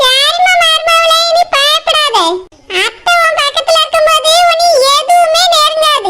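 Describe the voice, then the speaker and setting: A woman uses a put-on character voice. It sits at an extremely high pitch with very wide pitch swings. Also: fairly slow pace. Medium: comedy sketch. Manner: warm, fussing.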